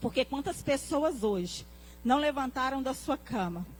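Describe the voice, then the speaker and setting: Her pitch sits high. The speaker is a woman. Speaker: pastor. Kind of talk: sermon.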